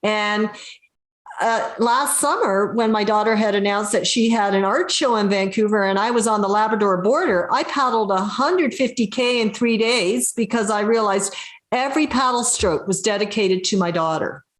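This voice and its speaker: A woman speaks at a fairly high pitch and a moderate pace, with ordinary pitch variation. It is a normal speaking voice with very even loudness. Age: 60s. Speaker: adventurer and inspirational speaker. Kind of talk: interview on video call. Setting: video call.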